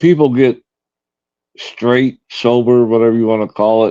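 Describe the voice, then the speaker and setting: A man's dark, mellow tone in a Tennessee accent, at a fairly slow pace, with a dry, close sound and no echo. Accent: US Southern (Tennessee). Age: 60s. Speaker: live streamer. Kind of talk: casual chat. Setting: live stream.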